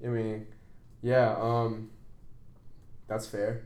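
A man speaks at a medium pitch in a flat monotone, with audible echo from the room. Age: 20s. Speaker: podcast host. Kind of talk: casual chat.

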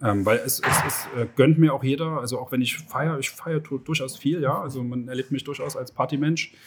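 A man with a fairly high pitch talks at a fairly quick pace with hardly any pauses. His intonation is fairly even, an ordinary speaking voice. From Germany, Leipzig (Saxony). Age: 40s. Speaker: entrepreneur. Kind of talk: interview. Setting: outdoors at a racecourse.

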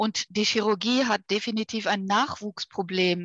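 At a fairly slow pace, a woman uses a normal speaking voice of medium pitch with fairly even intonation, in a dry, close sound with no echo. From Ruhr area, Germany. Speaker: vascular surgeon. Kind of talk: interview.

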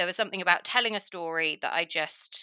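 A woman with a bright, sharp tone talks at a fairly quick pace, the sound dry and close with no echo on a very clean recording with a silent background. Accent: English. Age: 30s. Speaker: equestrian commentator and presenter. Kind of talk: casual interview chat.

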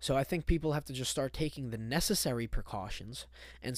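Vocal fry colors the voice of a man talking at a fairly quick pace. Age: 20s. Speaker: podcast host. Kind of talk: solo casual monologue.

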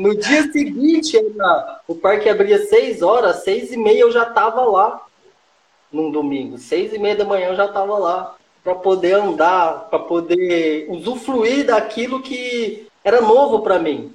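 High-pitched man speaking fairly slowly with lively intonation. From Minas Gerais, Brazil. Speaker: street roller skater. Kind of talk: casual interview.

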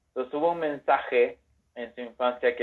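Speaking with a Mexican accent, a man keeps a moderate pace. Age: 30s. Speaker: enneagram content creator. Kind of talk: casual chat.

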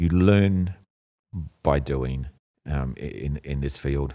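A man's very deep, low voice with a dark, mellow tone and an Australian accent, at a fairly slow pace, in a very clean recording with a silent background. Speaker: computer science teacher. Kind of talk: podcast interview. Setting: live recording at school.

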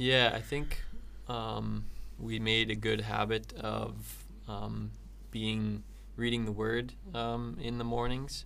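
In an audible room echo, a man with a Canadian accent speaks at a very slow pace. He leaves long, frequent pauses. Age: 20s. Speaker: missionary and civil engineer. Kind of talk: casual interview.

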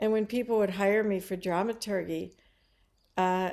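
A woman speaks with an American accent and a normal speaking voice at medium pitch. Her pitch varies in an ordinary way on a very clean recording with a silent background. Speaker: playwright. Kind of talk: casual interview.

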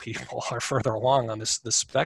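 Vocal fry runs through a man's medium-pitched voice as he talks at a fairly quick pace. His pitch varies in an ordinary way, and the sound is dry and close with no echo. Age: 50s. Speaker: accounting professor and lawyer. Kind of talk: interview. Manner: halting, many repetitions.

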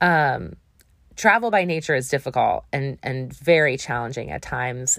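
Speaking at a moderate pace with an American accent, a woman sounds animated in tone, with ordinary pitch variation, on a very clean recording with a silent background. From US Midwest, Wisconsin. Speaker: travel podcast host. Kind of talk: casual solo monologue. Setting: home recording in a closet.

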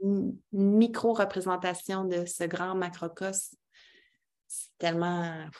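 Speech in a Quebec accent comes at a very slow pace with monotone, flat intonation. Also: woman, medium pitch for a woman. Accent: Québécois French. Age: 30s. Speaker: women's circle facilitator. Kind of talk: casual interview.

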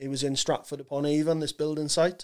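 In a South Wales accent, a man speaks with a fairly high pitch. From Wales, Swansea. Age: 30s. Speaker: comedian. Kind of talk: casual chat. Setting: studio. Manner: halting.

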